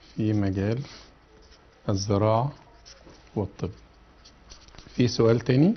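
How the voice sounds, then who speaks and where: Pausing long and often, a man with an Egyptian accent speaks fairly slowly at a fairly low pitch with ordinary pitch variation, over light background noise. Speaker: educational TV presenter and teacher. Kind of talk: educational TV lesson. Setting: TV studio with phone-ins. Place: studio.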